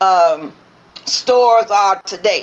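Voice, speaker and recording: Her pitch moves in an ordinary way. The woman talks with an American accent. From Mississippi, US South. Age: old. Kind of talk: interview answer, oral history recollection. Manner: hesitant, conversational.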